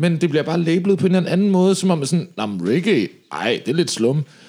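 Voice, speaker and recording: Talking at a fairly quick pace, a man uses a high voice with a dark, mellow tone. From Denmark, Slagelse (Zealand). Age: 30s. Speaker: reggae singer. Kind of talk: casual interview.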